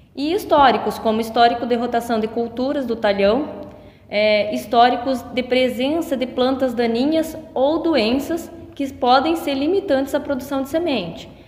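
Noticeable background noise surrounds a woman speaking at a fairly slow pace. Her pitch is high, with ordinary variation. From western Paraná, Brazil (Medianeira region). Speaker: agronomist. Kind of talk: interview.

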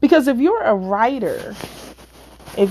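A woman at a fairly slow pace with lively intonation, over noticeable background noise. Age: 50s. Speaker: podcast host and author. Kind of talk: casual monologue. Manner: hesitant, many fillers.

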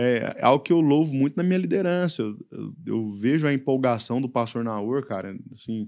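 Speaking in a normal speaking voice, a man with a medium pitch uses lively intonation and hardly any pauses. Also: moderate pace. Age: 30s. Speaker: youth pastor. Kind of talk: casual chat.

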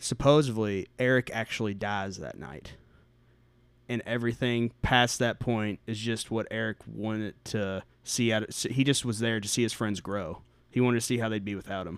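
A man with an unremarkable speaking voice talks at medium pitch and a moderate pace with fairly even intonation, recorded very cleanly over a silent background. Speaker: podcast guest. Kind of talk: casual chat.

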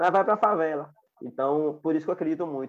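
Very fast speech comes from a man. He pitches his voice fairly high and varies it in an ordinary way. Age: 20s. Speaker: social activist, founder of project for homeless people. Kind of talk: interview conversation.

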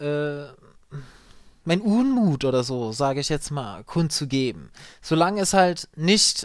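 A man's very slow speech comes through on a very clean recording with a silent background. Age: 30s. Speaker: call center agent and podcaster. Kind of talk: solo podcast monologue. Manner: hesitant, many fillers.

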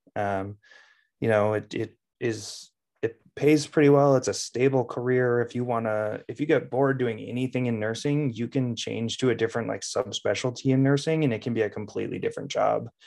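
An American accent marks this man's ordinary speaking voice, medium in pitch, fairly quick, with fairly even intonation. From Minnesota. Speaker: nurse and anesthesia student. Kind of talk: interview.

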